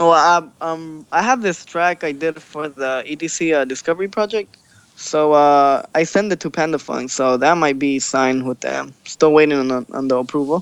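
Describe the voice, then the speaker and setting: In an American accent, a man speaks in a normal speaking voice, fairly high in pitch, at a moderate pace with ordinary pitch variation and hardly any pauses. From Los Angeles, raised from about age six. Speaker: DJ and electronic music producer. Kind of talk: casual interview. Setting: Skype call.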